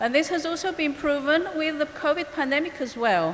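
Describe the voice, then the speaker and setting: A woman with a Greek accent talks at a fairly quick pace and with lively intonation, over noticeable background noise and audible room echo. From Cyprus, Greek Cypriot community. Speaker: biologist and ecologist. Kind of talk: conference presentation. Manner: hesitant, with fillers.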